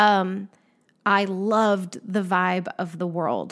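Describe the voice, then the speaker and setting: Recorded very cleanly against a silent background, a woman speaks at a medium pitch. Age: 40s. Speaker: astrology podcast host. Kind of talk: casual solo monologue. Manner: informal, many fillers.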